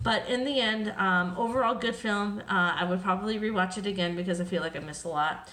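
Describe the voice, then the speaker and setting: A woman at medium pitch and a very fast pace, with ordinary pitch variation, hardly any pauses and audible room echo. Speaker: film reviewer. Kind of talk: casual review monologue. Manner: many fillers, um and uh.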